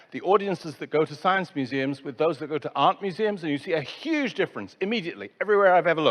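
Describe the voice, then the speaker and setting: Against a quiet background, someone with an English accent talks very fast with lively intonation and hardly any pauses. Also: man. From England. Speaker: conference speaker on science museums. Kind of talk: conference talk.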